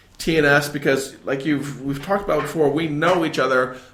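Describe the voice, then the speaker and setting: Noticeable noise sits in the background. The talking proceeds at a moderate speed. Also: man. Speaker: podcast host. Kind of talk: podcast interview. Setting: guest's office.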